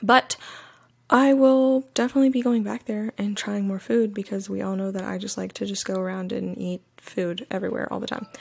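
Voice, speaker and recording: Here a woman talks with an American accent at a fairly quick pace. Her pitch is medium, with ordinary variation. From US South. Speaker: podcast host. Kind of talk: casual solo podcast review. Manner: animated.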